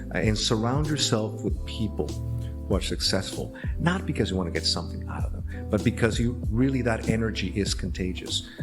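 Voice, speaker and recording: With music in the background, a man with a very deep, low voice speaks at a fairly quick pace, with very wide pitch swings and hardly any pauses. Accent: American. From Laredo, Texas. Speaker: actor, voice actor. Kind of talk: interview answer.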